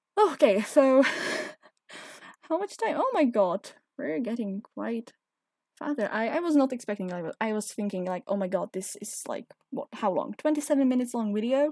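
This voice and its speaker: In a dry, close recording with no echo, a woman with a non-native accent speaks at a moderate pace and fairly high pitch, with lively intonation and long, frequent pauses. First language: not English. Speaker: game video creator. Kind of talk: casual commentary over gameplay. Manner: hesitant, searching for words.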